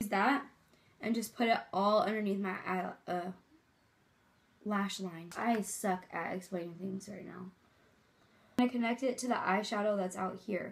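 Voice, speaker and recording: At a moderate pace with long, frequent pauses, a woman of medium pitch speaks in a somewhat breathy voice with fairly even intonation. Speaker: cheer coach. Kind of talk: makeup tutorial talk to camera.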